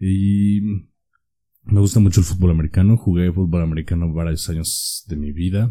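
A dark, mellow tone at a moderate pace. The intonation stays fairly even. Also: man, very deep, low pitch for a man. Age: 20s. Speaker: podcast co-host. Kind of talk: casual chat.

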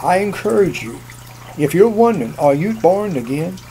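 With noticeable background noise behind him, a man speaks at a moderate pace with lively intonation. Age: 70s. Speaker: preacher. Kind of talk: sermon. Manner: earnest, preacherly.

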